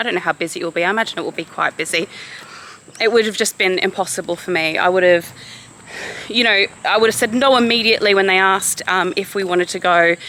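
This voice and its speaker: A woman's very fast voice at medium pitch with fairly even intonation over noticeable background noise. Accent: Australian. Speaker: vlogger. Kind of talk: vlog talking to camera. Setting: outdoors, walking.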